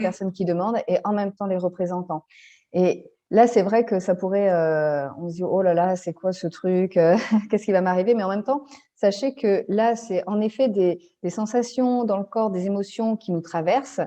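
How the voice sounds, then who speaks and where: A woman talks in a normal speaking voice at medium pitch and a moderate pace, with ordinary pitch variation. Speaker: family constellations facilitator. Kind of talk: interview answer.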